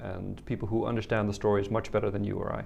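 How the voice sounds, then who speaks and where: With a Dutch accent, a man speaks fairly quickly at a fairly low pitch, with vocal fry. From Netherlands. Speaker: policy analyst, photo exhibition representative. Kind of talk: interview.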